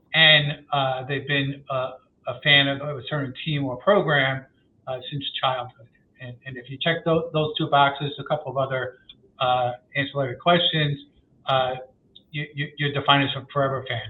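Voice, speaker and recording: With a New York accent, a man speaks at a moderate pace and fairly high pitch, his intonation monotone and flat, with big swings in loudness. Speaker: sports marketing research executive. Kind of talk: podcast interview.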